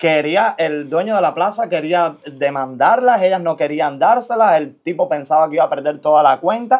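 At a moderate pace with hardly any pauses, a man talks with lively intonation over a quiet background. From Cuba. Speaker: podcast host. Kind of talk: casual interview. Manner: animated. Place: studio.

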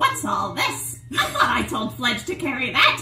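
At a moderate pace, a female-sounding put-on character voice speaks against clear background noise. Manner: scolding, fussy. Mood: playful.

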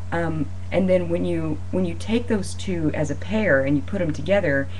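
Moderate pace, with light background noise. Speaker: student or instructor explaining a reading. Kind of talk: lecture. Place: home room. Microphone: webcam.

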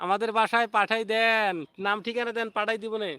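A man's high, bright, sharp voice, raised and projected, flat and monotone in intonation, on a very clean recording with a silent background. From Bangladesh, Rangpur. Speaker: YouTuber. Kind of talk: live stream chat. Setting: outdoors, garden. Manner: repetitive.

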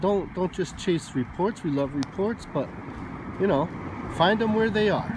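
A man's high-pitched voice with very wide pitch swings at a moderate pace, dry with no echo, amid noticeable background noise. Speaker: outdoor explorer vlogger. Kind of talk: casual vlog chat. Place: open country. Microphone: phone near.

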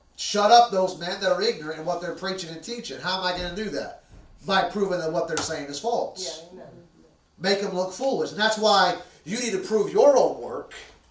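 A man talks at a fairly quick pace with a high pitch, his loudness swinging widely. Audible room echo surrounds his voice. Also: ordinary pitch variation. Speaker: preacher. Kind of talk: sermon. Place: church.

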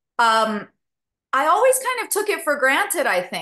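A woman with an American accent speaks in a bright, sharp tone with very wide pitch swings. The background is quiet. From Southern California. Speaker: actress and singer; actress. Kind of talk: interview. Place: home room. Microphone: webcam.

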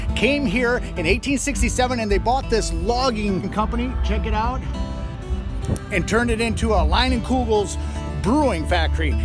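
Clear music plays in the background of a dry sound with no echo. The speech keeps a moderate pace. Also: man. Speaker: travel vlogger. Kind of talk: casual vlog chat. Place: street. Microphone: phone near.

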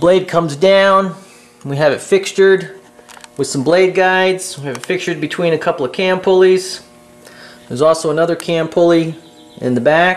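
Faint music plays behind a man with a high pitch and fairly even intonation. He talks at a moderate pace with long, frequent pauses. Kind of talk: tutorial walkthrough. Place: workshop. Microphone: phone near.

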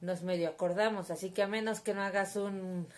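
At a moderate pace, a woman talks. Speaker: vlogger. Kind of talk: casual vlog chat. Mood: wry, storytelling. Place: home room. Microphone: phone near.

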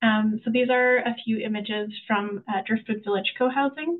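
At a moderate pace, a woman with a fairly high voice speaks with fairly even intonation. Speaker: housing specialist. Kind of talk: webinar presentation. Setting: video call. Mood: warm, enthusiastic. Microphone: video call.

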